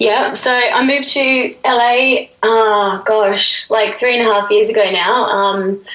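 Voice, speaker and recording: A woman with an Australian accent at a very slow pace, fairly high in pitch, very even in loudness and with hardly any pauses, over noticeable background noise. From Australia, Brisbane. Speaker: musician and actress. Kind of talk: radio interview. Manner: clear; animated.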